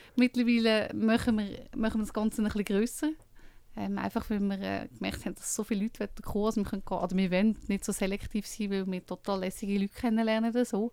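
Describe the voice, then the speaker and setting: A woman at a very fast pace and medium pitch, with a dark, mellow tone and fairly even intonation. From Switzerland, Lucerne. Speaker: book co-author and dinner event host. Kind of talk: radio interview.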